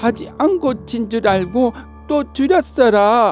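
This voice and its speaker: In a Jeolla accent, the speaker talks at a very slow pace in a relaxed tone, with music in the background. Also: man. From Jeonju, North Jeolla, Korea. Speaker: non-professional voice performer. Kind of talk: folk tale storytelling. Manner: relaxed, unhurried.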